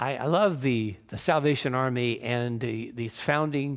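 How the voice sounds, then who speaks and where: This man has an ordinary speaking voice at a medium pitch, with ordinary pitch variation and a fairly slow pace. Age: 60s. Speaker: pastor. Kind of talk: sermon. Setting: church.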